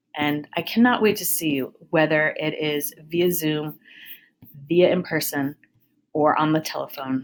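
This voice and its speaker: A woman's very deep, low-pitched voice, upbeat in tone, with ordinary pitch variation. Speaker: high school counselor. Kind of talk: recorded presentation to students. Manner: fast; casual, upbeat.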